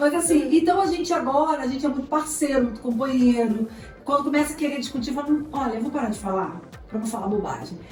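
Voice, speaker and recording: A woman talks at a very fast pace with a high pitch and lively intonation. Music plays behind her, and the room echo is audible. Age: 40s. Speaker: theology seminary director and family therapist. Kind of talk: podcast interview.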